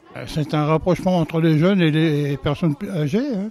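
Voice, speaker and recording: Over noticeable background noise, a man with a fairly high pitch talks at a fairly slow pace with ordinary pitch variation. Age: 80s+. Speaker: retirement home resident. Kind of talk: interview. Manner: halting.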